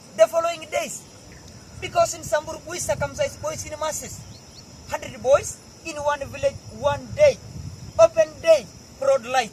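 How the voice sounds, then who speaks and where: A man with a Kenyan accent and an extremely high pitch, ordinary pitch variation, and noticeable background noise. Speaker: Samburu warrior. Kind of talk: oral storytelling to visitors.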